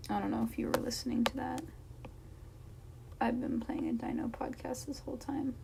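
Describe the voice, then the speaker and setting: A woman speaks at a fairly quick pace but with long, frequent pauses. Noticeable background noise runs beneath her. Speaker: streamer. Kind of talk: casual chat. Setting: live stream.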